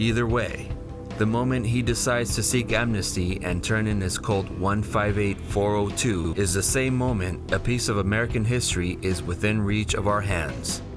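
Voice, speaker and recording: A man at a moderate pace with very even loudness, music playing in the background. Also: fairly low pitch for a man, ordinary pitch variation. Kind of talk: documentary narration.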